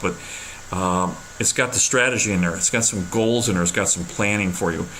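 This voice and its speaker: Noticeable background noise and audible room echo accompany this man's voice. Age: 60s. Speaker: real estate investor and author. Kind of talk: direct-to-camera talk. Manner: halting, many fillers and repeats.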